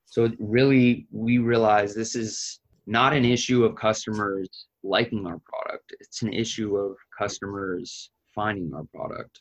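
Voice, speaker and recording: A plain, everyday voice from a man, medium in pitch, at a fairly slow pace with fairly even intonation, in a dry, close sound with no echo. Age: 30s. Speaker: business founder. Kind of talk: interview.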